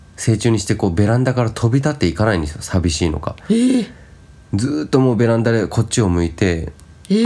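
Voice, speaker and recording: A man talks at a fairly quick pace in a plain, everyday voice. His pitch sits fairly low and his intonation is lively. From Japan, Shizuoka. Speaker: podcast co-host. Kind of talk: casual chat.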